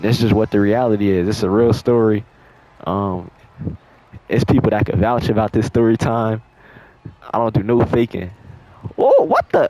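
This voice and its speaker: A man's medium-pitched voice with fairly even intonation, long and frequent pauses, and noticeable background noise. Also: moderate pace. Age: 20s. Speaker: storytime youtuber. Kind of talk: storytime over gameplay. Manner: casual, slangy.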